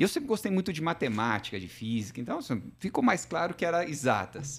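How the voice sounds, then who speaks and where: A man with vocal fry talks at a fairly quick pace, his fairly high pitch swinging very widely. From southern Minas Gerais, Brazil. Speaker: logistics executive. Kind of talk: interview conversation.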